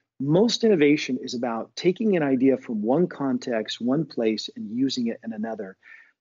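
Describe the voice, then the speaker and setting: With an American accent, an unremarkable speaking voice moves at a moderate pace with lively intonation and hardly any pauses. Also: man, medium pitch for a man. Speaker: professor and author. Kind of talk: casual interview chat.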